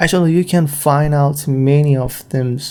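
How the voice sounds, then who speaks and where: Very slowly, a man speaks in a dark, mellow tone with a non-native accent. His pitch is fairly high. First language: not English. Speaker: freelance graphic designer, podcaster. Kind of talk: solo podcast monologue. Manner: halting, many fillers.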